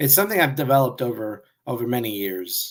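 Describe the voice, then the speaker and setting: A man speaks at a medium pitch with ordinary pitch variation, recorded very cleanly against a silent background. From Brooklyn, New York, Puerto Rican family. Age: 50s. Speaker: author. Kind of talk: podcast interview. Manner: hesitant, many fillers.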